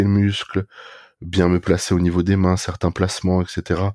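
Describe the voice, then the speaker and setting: With a very deep, low pitch and a dark, mellow tone, a man talks at a fairly slow pace in monotone, flat intonation. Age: 20s. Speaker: bodybuilder. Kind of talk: casual chat.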